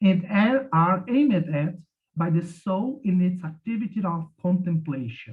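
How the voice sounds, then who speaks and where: A man with a Portuguese accent talks at a fairly slow pace, his high pitch carrying lively intonation. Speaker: academic commentator. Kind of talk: reading a prepared commentary. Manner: halting, with repeated words.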